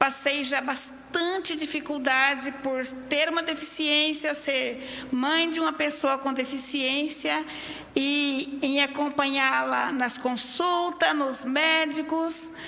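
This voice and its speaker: A woman's raised, projected, high voice at a very slow pace, flat and monotone, amid noticeable background noise and audible room echo. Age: 60s. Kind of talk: public hearing statement.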